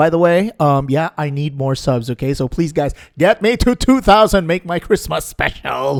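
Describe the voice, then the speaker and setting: A man with an American accent talks at a moderate pace with hardly any pauses. His fairly high voice has lively intonation and a dry, close sound with no echo. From Philippines, Visayas. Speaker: gaming YouTuber. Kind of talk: video intro then interview.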